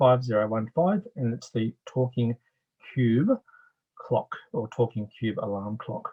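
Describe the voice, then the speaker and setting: A man's voice at medium pitch, fairly slow in pace, with ordinary pitch variation. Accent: Australian. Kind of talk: product demonstration. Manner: casual, explanatory.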